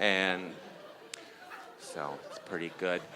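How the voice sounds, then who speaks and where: A man's very deep, low voice in a Canadian accent at a very slow pace, with crowd noise in the background. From Canada. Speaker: stand-up comedian. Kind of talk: stand-up. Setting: stage with audience. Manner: halting, many fillers.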